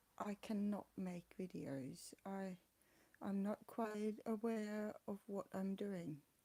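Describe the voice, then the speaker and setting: A woman talks at a very slow pace. Her tone is dark and mellow. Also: medium pitch for a woman. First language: not English. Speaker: vlogger with chronic illness. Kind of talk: personal vlog. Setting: home flat. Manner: halting.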